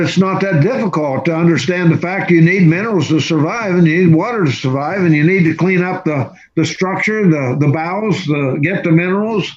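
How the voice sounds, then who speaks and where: This man talks at a high pitch and a moderate pace. His pitch variation is ordinary. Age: 70s. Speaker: natural health practitioner and teacher. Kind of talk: interview storytelling.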